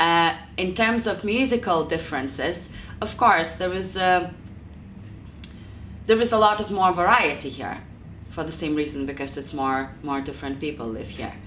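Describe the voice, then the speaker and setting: A woman's fairly low voice at a moderate pace, lively in intonation, with big swings in loudness, long and frequent pauses, and audible room echo. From Lithuania. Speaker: jazz singer and music teacher. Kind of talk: interview. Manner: halting.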